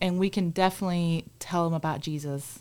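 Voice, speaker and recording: A woman with a fairly low pitch speaks with a Spanish accent. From Cuba. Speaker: church compassion ministry staff. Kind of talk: casual chat.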